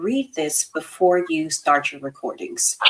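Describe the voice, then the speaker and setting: A woman speaks at a fairly low pitch with ordinary pitch variation. She has a slight Texas accent. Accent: slight Texas twang. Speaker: therapist, podcast co-host. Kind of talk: casual chat. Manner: chatty, many fillers.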